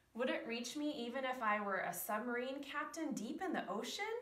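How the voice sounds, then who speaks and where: The voice is raised and projected. Audible room echo surrounds it. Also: woman. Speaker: preschool teacher reading a story. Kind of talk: bedtime story reading, read aloud to children. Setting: video recording for preschool children. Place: classroom. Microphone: camera far.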